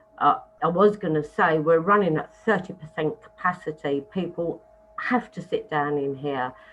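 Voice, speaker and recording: A woman at a fairly low pitch and a moderate pace, with ordinary pitch variation and music in the background. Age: 60s. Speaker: pub licensee. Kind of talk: licensing hearing submission.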